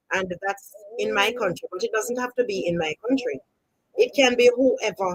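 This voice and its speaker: The voice carries a Jamaican accent and lively intonation at a moderate pace, with a dry, close sound and no echo. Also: woman. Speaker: storytelling channel host. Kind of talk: live stream chat.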